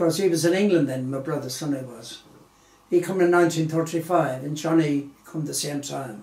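A man speaks at a fairly high pitch with big swings in loudness. Audible room echo fills the recording. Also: ordinary pitch variation, moderate pace. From Galway, Ireland; Ireland. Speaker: interviewee. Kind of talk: interview answer. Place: home room.

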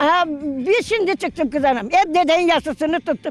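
A woman with a Rumelian accent talks at an extremely high pitch and a moderate pace. Her intonation is lively, and there is noticeable background noise. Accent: Rumelian Turkish village dialect. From Thrace, Turkey. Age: 70s. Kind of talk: casual interview answer.

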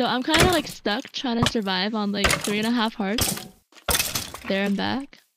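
A woman speaks at a moderate pace with a fairly high pitch and ordinary pitch variation. The sound is dry with no echo, though loud background noise is present. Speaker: gamer on stream. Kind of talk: casual gaming chat. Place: home room.

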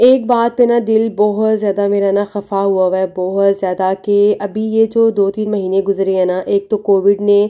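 A woman's dark, mellow tone in a Pakistani accent, monotone and flat in intonation. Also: medium pitch for a woman. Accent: Pakistani Urdu. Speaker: family vlogger. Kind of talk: vlog narration.

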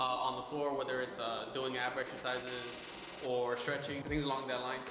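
Over clear background music and audible room echo, a man speaks at a fairly quick pace. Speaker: fitness vlogger. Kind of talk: tutorial. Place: gym. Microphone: camera far.

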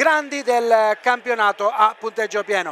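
Over light background noise, a man with a high pitch is heard in a dry sound with no echo. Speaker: radio sports commentator. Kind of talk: commentary. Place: stadium.

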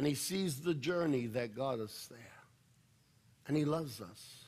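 A man's speech at a fairly slow pace. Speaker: pastor. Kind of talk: sermon. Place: church.

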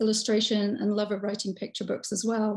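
Fairly quick, somewhat breathy speech from a woman with an English accent and fairly high pitch, against a quiet background. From England. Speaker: children's workshop presenter; presenter. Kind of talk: hosting a live workshop. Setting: video call. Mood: warm, friendly. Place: home room. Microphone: video call.

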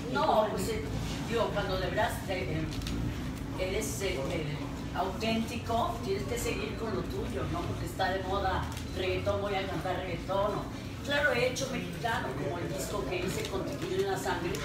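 A woman at a fairly slow pace, with audible room echo and loud background noise. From Mexico, Guadalajara. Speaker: rock singer. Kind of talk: press conference. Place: hall.

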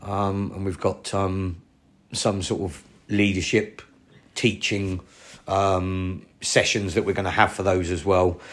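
In a monotone with flat intonation, a man with a very deep, low pitch speaks at a very slow pace. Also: very clean recording, silent background. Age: 40s. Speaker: karate instructor. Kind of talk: casual chat. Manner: loud, projecting.

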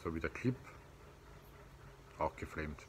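A man is heard over light background noise. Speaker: knife collector reviewer. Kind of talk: casual product review. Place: garden. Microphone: phone near.

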